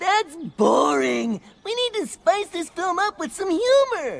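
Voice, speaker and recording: This cartoonish character voice sits at an extremely high pitch and moves at a fairly slow pace. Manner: jokey, playful.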